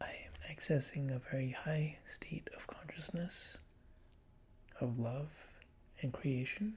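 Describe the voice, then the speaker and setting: Soft-spoken whispering at a very slow pace, with long, frequent pauses. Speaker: ASMR YouTuber. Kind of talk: ASMR tutorial narration, soft spoken. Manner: whispered, soft-spoken.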